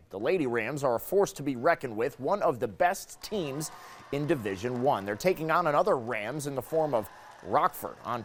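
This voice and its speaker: Here a man has an ordinary speaking voice with a fairly high pitch. He talks at a moderate pace. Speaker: TV news anchor and reporter. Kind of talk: TV sports anchor read. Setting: studio.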